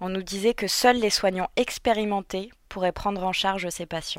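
Over a very clean recording with a silent background, a woman with a plain, everyday voice speaks at a moderate pace with fairly even intonation. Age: 20s. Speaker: intensive care nurse. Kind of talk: scripted narration.

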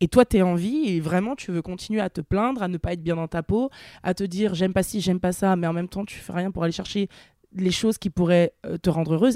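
In a very clean recording with a silent background and a dry, close sound with no echo, a woman with a medium pitch and a dark, mellow tone talks at a fairly quick pace with ordinary pitch variation. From France, Nantes. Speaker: plus-size model and content creator. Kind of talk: casual interview. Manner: animated.

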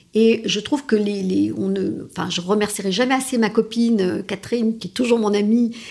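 Using a plain, everyday voice, a woman talks with fairly even intonation at a fairly high pitch. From France and Italy. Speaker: lawyer and strategy consultant. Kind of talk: interview.

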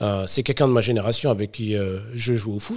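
On a very clean recording with a silent background, a man speaks at a fairly quick pace with a somewhat breathy voice. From Paris suburbs (Sarcelles), France. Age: 30s. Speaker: startup founder. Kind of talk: casual interview.

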